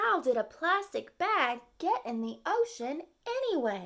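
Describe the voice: In a put-on character voice with a bright, sharp tone and vocal fry, the speaker moves at a fairly slow pace through big pitch swings. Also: woman, high pitch for a woman.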